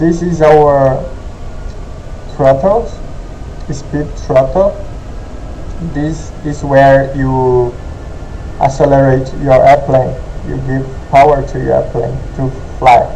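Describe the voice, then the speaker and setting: A man with a non-native accent and fairly high pitch, very slow pace with long, frequent pauses, fairly even intonation, audible room echo and noticeable background noise. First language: not English. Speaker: gaming tutorial youtuber. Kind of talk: tutorial. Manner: halting.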